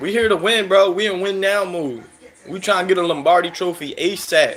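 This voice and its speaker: Over background music, a man with an American accent speaks in a high pitch with ordinary pitch variation. His tone is animated and his pace moderate. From Philadelphia, US. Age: 30s. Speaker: sports fan streamer. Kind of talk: live stream commentary chatting with viewers.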